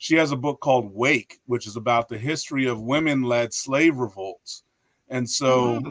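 At a moderate pace and medium pitch, a man speaks in a dry, close sound with no echo. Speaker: history professor and author. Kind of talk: casual interview. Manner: animated.

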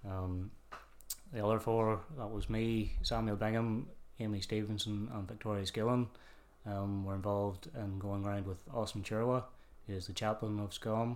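A man speaks with a Northern Irish accent at a moderate pace. His fairly low voice keeps a fairly even intonation. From Northern Ireland, Kilkeel, County Down. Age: 20s. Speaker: church youth group leader. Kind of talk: casual interview testimony.

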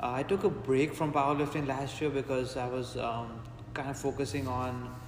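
A man speaks at a moderate pace and medium pitch. His intonation is fairly even, and there is noticeable background noise. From India (Mumbai). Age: 20s. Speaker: strength coach and powerlifter. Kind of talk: casual interview. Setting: in a gym.

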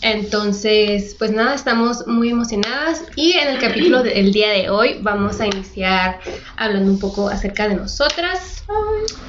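A woman's fairly high voice at a fairly slow pace, with lively intonation and hardly any pauses, amid audible room echo and noticeable background noise. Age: 20s. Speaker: podcast co-host. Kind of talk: casual chat.

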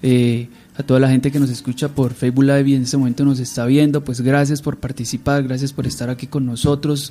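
Dark, mellow tone at a fairly quick pace, with monotone, flat intonation. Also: man. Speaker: radio host. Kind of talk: radio interview. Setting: radio studio.

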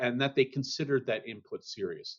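A man talks in an ordinary speaking voice at medium pitch with ordinary pitch variation. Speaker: accounting standards expert. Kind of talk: interview.

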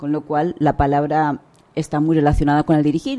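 A woman with a Spanish accent speaks at a fairly quick pace in a very deep, low pitch. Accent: Peninsular Spanish. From Spain. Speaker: author and leadership consultant. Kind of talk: radio interview.

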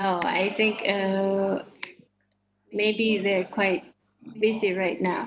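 A woman with an Indonesian accent, medium pitch, flat monotone intonation, very even loudness, a very slow pace and long, frequent pauses. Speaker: vocational school computer teacher, session coach. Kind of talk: online teacher discussion. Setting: video call.

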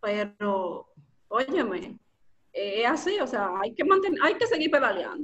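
A woman speaks in a high voice at a fairly slow pace. Her pitch swings very widely. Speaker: storytelling and copywriting instructor. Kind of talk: casual interview.

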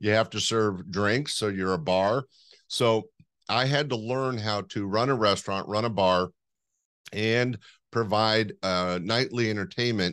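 Over a quiet background, a man with an American accent talks at a fairly slow pace in a fairly low voice with ordinary pitch variation. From Northern California. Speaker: comedy producer and club owner. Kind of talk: casual interview, storytelling.

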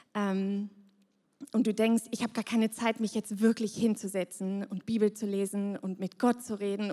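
A woman with a normal speaking voice talks at a fairly slow pace and medium pitch, with fairly even intonation in a dry, close sound with no echo. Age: 30s. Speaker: pastoral care leader. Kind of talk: devotional talk.

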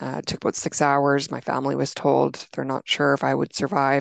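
Recorded with a dry, close sound, no echo and a quiet background, a woman speaks with a Canadian accent. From Alberta, Canada. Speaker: illness survivor and fitness trainer. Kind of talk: interview.

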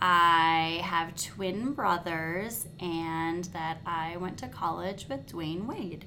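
Over noticeable background noise and audible room echo, a speaker with an American accent talks at a very slow pace with fairly even intonation. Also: woman, fairly low pitch for a woman, hardly any pauses. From small-town Wisconsin. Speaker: instructional coach, former teacher. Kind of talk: casual chat.

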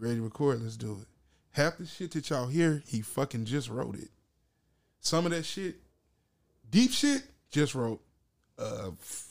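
A man of medium pitch uses lively intonation at a fairly slow pace, recorded very cleanly with a silent background. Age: 30s. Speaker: guest rapper and producer. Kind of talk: casual banter.

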